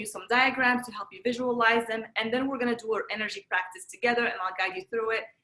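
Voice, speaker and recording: At a very fast pace, a woman with a Moroccan accent speaks at a fairly high pitch with ordinary pitch variation. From Morocco, Marrakesh. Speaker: energy healer and wellness teacher. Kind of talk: workshop presentation.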